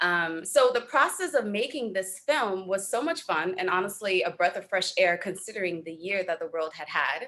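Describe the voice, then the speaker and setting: A woman with an American accent has an ordinary speaking voice and a medium pitch that varies in an ordinary way. She speaks at a moderate pace on a very clean recording with a silent background. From Florida (Miami). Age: 20s. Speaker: dancer and choreographer presenting her work. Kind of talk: prepared artist presentation.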